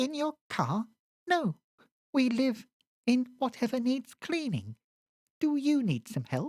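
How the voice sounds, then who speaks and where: In a put-on character voice, a female-sounding speaker with a high pitch goes at a fairly slow pace, leaving long, frequent pauses. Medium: read story. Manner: friendly, eager.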